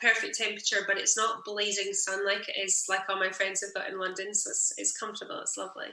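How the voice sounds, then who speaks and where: Very fast speech from a fairly high-pitched woman, with ordinary pitch variation, audible room echo and noticeable background noise. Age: 30s. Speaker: singer-songwriter. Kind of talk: casual interview chat.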